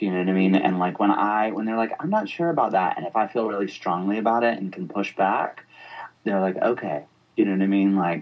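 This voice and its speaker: Here a man speaks very fast with an American accent. His pitch is fairly low, with ordinary variation. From US South, Atlanta, Georgia. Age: 40s. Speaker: interior designer. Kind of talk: casual interview.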